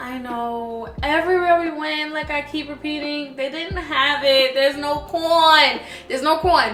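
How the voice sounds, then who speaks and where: A woman speaks at a fairly slow pace in a high voice, her loudness swinging widely. Her intonation stays fairly even over noticeable background noise. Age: 20s. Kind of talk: casual cooking vlog talk to camera. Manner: casual, chatty.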